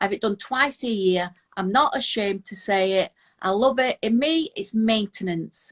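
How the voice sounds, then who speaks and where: In a British accent, a woman with a fairly high pitch speaks at a moderate pace with lively intonation, recorded dry and close with no echo against a quiet background. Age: 50s. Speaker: Instagram influencer. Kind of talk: casual interview.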